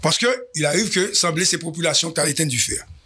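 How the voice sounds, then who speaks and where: The background is quiet as a man speaks fairly slowly. His fairly high voice has a bright, sharp tone. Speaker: news show host. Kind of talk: news commentary. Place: studio. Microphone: studio mic.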